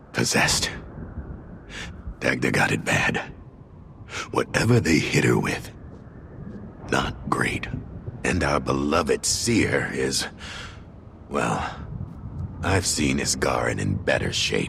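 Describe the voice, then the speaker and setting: A man whispers in a put-on character voice at a fairly slow pace. He leaves long, frequent pauses. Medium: video game. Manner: blunt, clipped.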